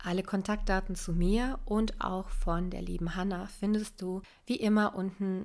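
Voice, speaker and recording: A woman's medium-pitched voice, fairly slow, on a very clean recording with a silent background. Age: 20s. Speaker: life coach. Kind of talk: scripted narration.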